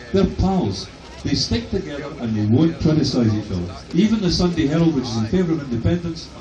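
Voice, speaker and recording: A man talks fairly quickly in a fairly high voice with very wide pitch swings. Noticeable background noise and audible room echo fill the recording. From west of Scotland. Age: 60s. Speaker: professor. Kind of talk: protest speech. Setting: outdoors addressing a crowd. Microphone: phone camera recording.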